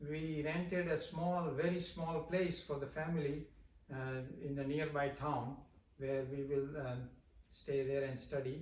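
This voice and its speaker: Some room echo can be heard as a man talks fairly slowly in a somewhat breathy voice at a fairly high pitch with fairly even intonation. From India. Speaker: professor. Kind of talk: interview. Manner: halting, many fillers.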